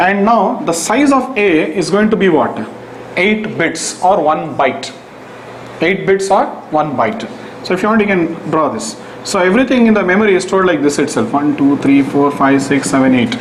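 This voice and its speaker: The voice holds a very even loudness throughout. Audible room echo and noticeable background noise surround it. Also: man, high pitch for a man, lively intonation, moderate pace. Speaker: programming teacher. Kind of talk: lecture.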